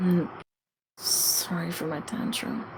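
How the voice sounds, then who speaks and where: A mumbled, put-on character voice at a middle pitch with audible echo. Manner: mumbling, slurring.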